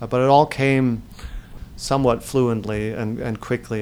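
Noticeable background noise runs behind a man with a German accent. He keeps a moderate pace in a monotone, flat intonation. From Germany, Hamburg. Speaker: singer-songwriter. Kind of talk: interview.

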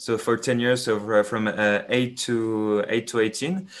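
With a French accent, a man speaks at a medium pitch and with fairly even intonation. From France. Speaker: business student. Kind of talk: casual chat. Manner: halting, many repetitions and fillers.

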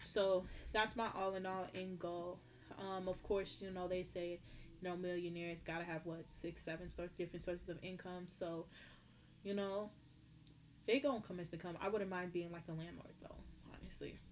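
A woman with an animated tone and fairly low pitch, at a moderate pace with long, frequent pauses. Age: 20s. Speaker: podcast host. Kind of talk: casual monologue.

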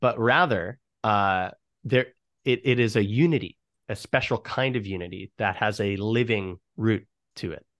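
A man with an ordinary speaking voice, fairly low in pitch, at a moderate pace with ordinary pitch variation, in a dry, close sound with no echo against a quiet background. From New York state, US. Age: 30s. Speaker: musician and writer on theology. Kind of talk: casual interview conversation. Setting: video call.

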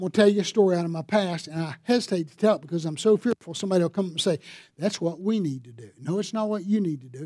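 A man speaks very fast with a Southern US accent, his pitch high for a man. His loudness swings widely while his pitch varies in an ordinary way. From US South, upstate South Carolina. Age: 60s. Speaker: pastor. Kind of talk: sermon. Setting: church.

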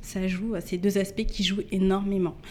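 Her intonation is monotone and flat as the woman talks at a medium pitch and a moderate pace. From Paris suburbs, Yvelines (Mantes-la-Jolie). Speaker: entrepreneur and communications agency director. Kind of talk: podcast interview. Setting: coworking space recording.

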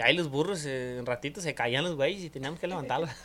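In a very clean recording with a silent background, a man's fairly high, bright, sharp voice carries ordinary pitch variation. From rural Mexico, mountain ranch. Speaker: podcast guest. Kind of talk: casual chat.

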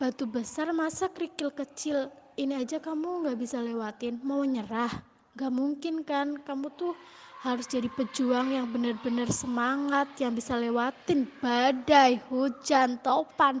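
A woman speaks at a high pitch and fairly slow pace with fairly even intonation. Background noise is noticeable. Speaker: university student. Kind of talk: recorded birthday message. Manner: stumbling.

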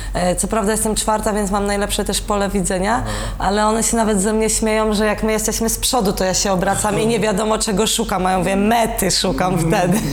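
Speaking very fast with hardly any pauses, a woman keeps a medium pitch, monotone, flat intonation and very even loudness, with audible room echo and noticeable background noise. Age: 20s. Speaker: olympic rower. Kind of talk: casual interview.

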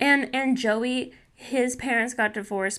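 A woman's bright, sharp voice with vocal fry and ordinary pitch variation, on a very clean recording with a silent background. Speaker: podcast host. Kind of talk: casual chat. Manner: playful, joking.

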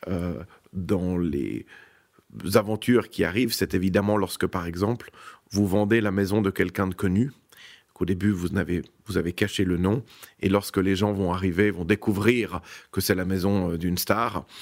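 A moderate pace broken by long, frequent pauses, with fairly even intonation. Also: man, very deep, low pitch for a man, very clean recording, silent background. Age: 50s. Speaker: real estate executive. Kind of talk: interview.

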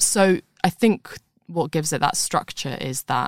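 A woman's voice with vocal fry and ordinary pitch variation, dry and close with no echo. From London. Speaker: writer. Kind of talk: interview chat. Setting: studio.

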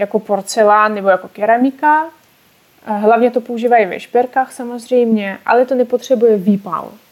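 A woman talks with a fairly high pitch, keeping a moderate pace and ordinary pitch variation. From Russia, Ural region. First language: Russian (speaking Czech). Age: 20s. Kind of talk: casual interview. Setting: online call.

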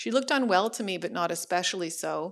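A woman with a Canadian accent and an unremarkable speaking voice, fairly low in pitch and at a fairly quick pace, on a very clean recording with a silent background. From Ottawa, Canada. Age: 30s. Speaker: professor and living organ donor. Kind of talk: personal storytelling.

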